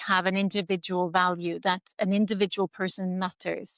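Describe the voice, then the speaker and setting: A woman with a Norwegian accent talks at medium pitch with fairly even intonation, in a dry, close sound with no echo on a very clean recording with a silent background. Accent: Norwegian, non-native English. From Norway. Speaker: head of school. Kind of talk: interview.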